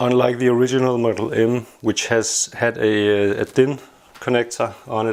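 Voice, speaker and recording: A man speaks at a medium pitch and moderate pace, flat and monotone. Noticeable background noise runs through the recording. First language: not English. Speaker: tech hobbyist YouTuber. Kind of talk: casual product review. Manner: hesitant, many filler sounds.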